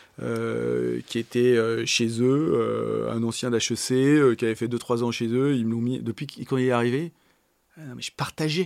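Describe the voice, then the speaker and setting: This man talks very slowly. The recording is dry and close, free of any echo. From Paris area, France. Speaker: company CEO. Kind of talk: interview. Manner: animated; halting.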